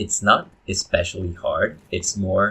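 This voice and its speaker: A man with a non-native accent, at a very slow pace. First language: not English. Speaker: gaming YouTuber. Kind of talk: gameplay commentary. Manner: halting, many fillers.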